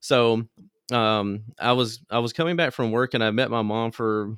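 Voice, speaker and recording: With a normal speaking voice, a man talks at medium pitch with fairly even intonation. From US South, Mississippi Delta (Greenville). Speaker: small business owner, car audio entrepreneur. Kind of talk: interview, casual storytelling.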